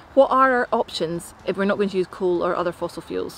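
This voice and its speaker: In a Scottish accent, a woman speaks at a fairly quick pace. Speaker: science presenter. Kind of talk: news bulletin presenting.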